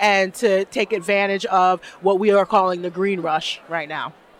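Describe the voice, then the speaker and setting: A woman speaks with a New York accent in a dry, close sound with no echo. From Brooklyn, New York (East New York). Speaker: cannabis executive and advocate. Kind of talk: interview. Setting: expo show floor.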